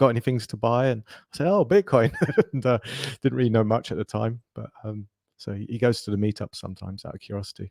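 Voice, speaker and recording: A very fast man's voice at medium pitch with an American accent, ordinary pitch variation and big swings in loudness, dry and close with no echo. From London, England. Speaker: tech entrepreneur. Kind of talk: interview.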